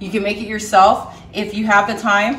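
Speaking at a moderate pace, a woman is heard with audible room echo. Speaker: home cook host. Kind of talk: cooking tutorial. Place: kitchen. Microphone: camera far.

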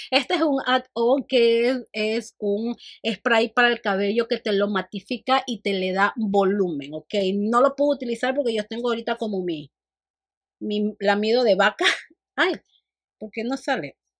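A woman speaks at a fairly slow pace in an animated tone, her pitch moving in an ordinary way over a quiet background. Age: 40s. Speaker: beauty vlogger. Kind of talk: makeup tutorial and product review. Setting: home studio. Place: home room.

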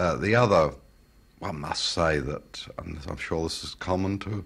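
A man with a British accent speaks at a moderate pace in a very deep, low voice with lively intonation. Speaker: loudspeaker company founder. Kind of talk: interview answer. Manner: soft-spoken, humble.

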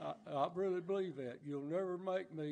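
A man with a Southern US accent, dark and mellow in tone, at a moderate pace with ordinary pitch variation. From US South. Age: 80s+. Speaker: church member. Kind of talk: testimony. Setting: church. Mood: earnest, grateful. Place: church.

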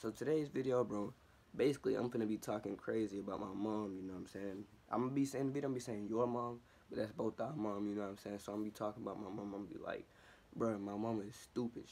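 Talking at a very fast pace, a man uses a fairly low pitch, a dark, mellow tone and fairly even intonation. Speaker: youtuber. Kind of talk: casual vlog chat. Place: home room. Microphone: phone near.

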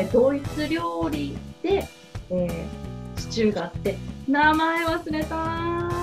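Very slow speech from a woman over clear background music. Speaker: voice actor. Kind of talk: casual web radio variety talk. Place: home room. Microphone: lapel.

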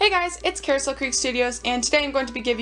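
There is music in the background. A woman speaks over it. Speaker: model horse collector vlogger. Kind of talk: casual chat. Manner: animated.

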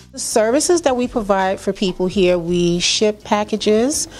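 With a New York accent, a woman is speaking. She keeps a moderate pace. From Brooklyn, New York (Flatbush). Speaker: small business owner. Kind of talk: interview. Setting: at her store during grand opening. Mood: warm, promotional. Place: shop. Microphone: handheld.

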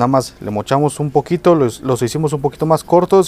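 With ordinary pitch variation, a man speaks at a fairly quick pace in a dry sound with no echo. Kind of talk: tutorial. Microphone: phone near.

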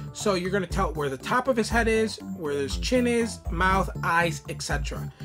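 As a man talks at a moderate pace, clear music in the background can be heard. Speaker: YouTuber reviewing an app. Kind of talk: tutorial. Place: home room.

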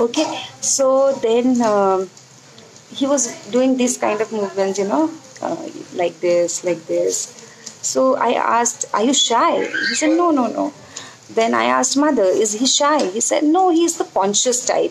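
A woman talks at a moderate pace in a high voice with very wide pitch swings. Her loudness stays very even over noticeable background noise. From India. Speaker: homeopathic doctor teaching; homeopathy teacher. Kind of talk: live online lecture. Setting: live stream. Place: home room. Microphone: earbuds.

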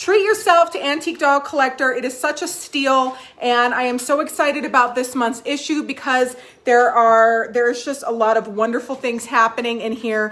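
A woman with a high voice talks at a medium tempo, her pitch moving normally. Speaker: magazine host. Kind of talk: casual live stream chat. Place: home room. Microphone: phone near.

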